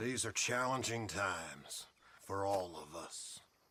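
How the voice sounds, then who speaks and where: Using a put-on character voice, a man talks at a fairly low pitch. His pace is fairly slow. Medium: video game.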